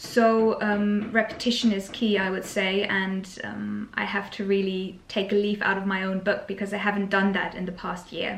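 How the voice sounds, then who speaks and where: A woman with a German accent at medium pitch, monotone and flat, moderate in pace with hardly any pauses, amid noticeable background noise and audible room echo. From Germany. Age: 20s. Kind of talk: casual Q&A chat. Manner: hesitant, many fillers.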